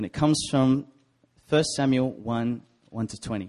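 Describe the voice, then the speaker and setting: Over a quiet background, a man with an Australian accent talks with fairly even intonation. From Sydney, Australia. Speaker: preacher. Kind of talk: sermon. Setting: church.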